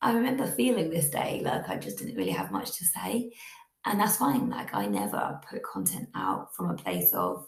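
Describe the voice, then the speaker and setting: A woman with a British accent at a moderate pace. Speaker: podcast host. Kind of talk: casual monologue.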